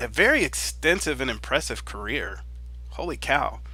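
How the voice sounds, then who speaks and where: A man's voice with a bright, sharp tone. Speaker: podcast host. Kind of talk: casual live podcast talk.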